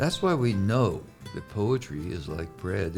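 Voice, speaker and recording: Over music in the background, a man with a fairly low pitch speaks at a very slow pace with lively intonation. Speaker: podcast host. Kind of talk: podcast introduction.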